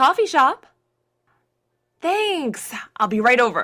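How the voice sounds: A woman's put-on character voice, high-pitched with a bright, sharp tone, big pitch swings and a slow pace.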